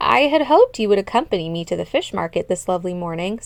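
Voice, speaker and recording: A woman puts on a character voice at a medium pitch, speaking at a very fast pace. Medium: read story. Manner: formal, courteous.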